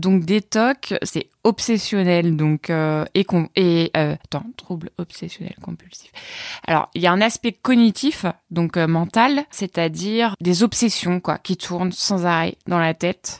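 A woman at a very slow pace with ordinary pitch variation, in a dry, close sound with no echo. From Normandy, Orne, rural. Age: 30s. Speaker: person living with OCD and depression. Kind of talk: testimony. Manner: halting.

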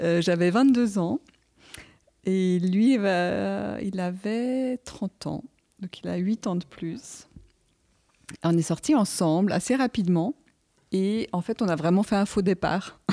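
A woman speaks very slowly at a medium pitch, with long, frequent pauses and ordinary pitch variation. Her tone is dark and mellow, recorded very cleanly with a silent background. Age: 40s. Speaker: geomatics specialist. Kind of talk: casual chat. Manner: halting.

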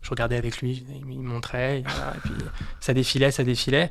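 The delivery is flat and monotone, set at a moderate pace. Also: man. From France, Haute-Savoie. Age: 20s. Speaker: watch collector. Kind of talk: casual chat. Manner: halting, many repetitions and fillers.

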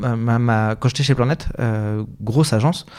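Against a silent background, a very clean recording carries a man's speech. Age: 30s. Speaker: communication agency founder. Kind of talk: interview. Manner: hesitant, many fillers.

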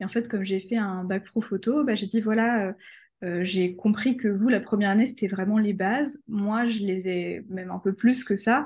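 Somewhat breathy, a woman at medium pitch speaks at a moderate pace with fairly even intonation. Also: quiet background. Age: 20s. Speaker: freelance photographer and customer care employee. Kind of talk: casual interview.

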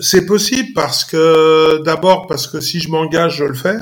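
A man has an ordinary speaking voice, fairly high in pitch, with ordinary pitch variation and a moderate pace. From Paris region, Saint-Denis. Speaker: former football coach. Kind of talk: casual interview.

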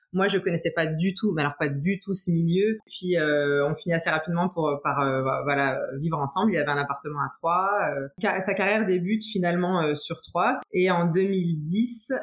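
Over noticeable background noise, a woman speaks at a moderate pace with a fairly low pitch, ordinary pitch variation and very even loudness. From France, Troyes. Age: 30s. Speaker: footballer's wife, nurse. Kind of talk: interview testimony.

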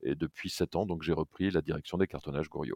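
This man's voice sits very deep and low, with audible vocal fry. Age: 60s. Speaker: packaging company executive. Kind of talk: interview.

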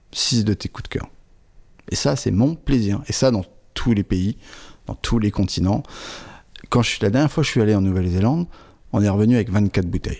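Lively intonation broken by long, frequent pauses, on a very clean recording with a silent background. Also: man, fairly low pitch for a man, moderate pace. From northern France, Aisne near Belgian border. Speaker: wine shop owner. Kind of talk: interview.

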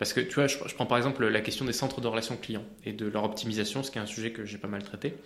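Audible room echo surrounds a man who talks at a very fast pace with hardly any pauses, a medium pitch and fairly even intonation. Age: 30s. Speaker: AI entrepreneur. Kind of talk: interview.

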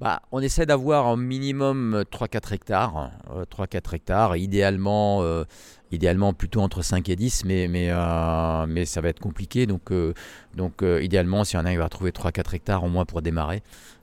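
Pitch varies in an ordinary way as the words come fairly slowly. Nothing can be heard behind the voice on this very clean recording. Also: man, very deep, low pitch for a man. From Lebanon. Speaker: winemaker. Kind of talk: interview. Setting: winery. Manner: halting.

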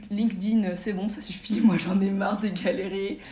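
A somewhat breathy woman talks at a moderate pace amid audible room echo. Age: 20s. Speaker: magazine founder. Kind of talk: casual interview.

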